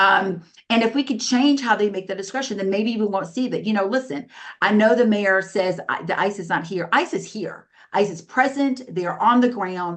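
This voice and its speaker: Using a plain, everyday voice, a woman talks fairly quickly at a medium pitch with ordinary pitch variation. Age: 50s. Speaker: politician, council member. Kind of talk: political debate. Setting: video call.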